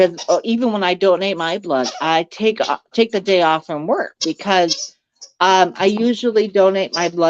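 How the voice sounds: Pitch moves in an ordinary way through a natural reading voice. All around, the background is quiet.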